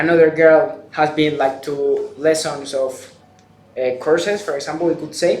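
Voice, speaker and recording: Noticeable background noise and audible room echo around a fairly high-pitched man's voice at a fairly slow pace. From Spain. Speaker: exchange student, video creator. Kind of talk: interview.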